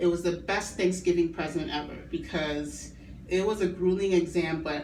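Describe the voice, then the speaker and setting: A woman talks at a moderate pace in a fairly low pitch with ordinary pitch variation. Audible room echo surrounds her voice. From Chicago, Illinois (immigrated as a child). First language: not English. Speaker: nursing student. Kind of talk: class speech presentation.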